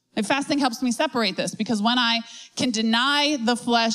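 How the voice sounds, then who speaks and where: A woman speaks at a moderate pace in an ordinary speaking voice with a fairly high pitch. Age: 30s. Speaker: pastor. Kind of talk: sermon.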